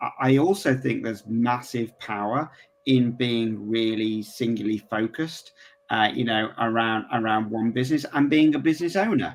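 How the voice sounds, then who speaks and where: Speaking with an English accent, a man keeps a medium pitch and a moderate pace, with ordinary pitch variation. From England. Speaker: referral marketing entrepreneur. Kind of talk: casual interview. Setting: home office, video call.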